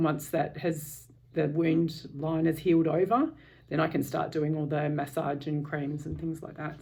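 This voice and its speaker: A somewhat breathy woman's voice, very deep and low, at a moderate pace. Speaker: vlogger sharing a surgery experience. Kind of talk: personal video diary. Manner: hesitant, many fillers.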